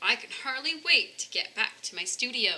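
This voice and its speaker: Doing a put-on character voice, a woman speaks at a moderate pace with big swings in loudness. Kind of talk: bedtime story. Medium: read story. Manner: warm, enthusiastic.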